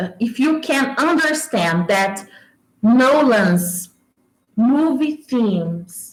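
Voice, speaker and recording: In a Brazilian accent, a woman speaks very slowly at a high pitch with very wide pitch swings. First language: Portuguese. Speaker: YouTuber discussing movies. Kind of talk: livestream casual talk. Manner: animated.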